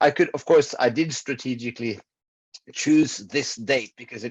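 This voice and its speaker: Against a quiet background, a man with a Norwegian accent speaks at a moderate pace in a dry, close sound with no echo. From Norway. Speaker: public health researcher. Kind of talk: conference presentation. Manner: hesitant, many filler words.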